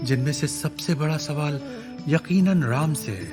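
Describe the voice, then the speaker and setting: A man is speaking. Music plays in the background. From India. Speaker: voice actor. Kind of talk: book review narration.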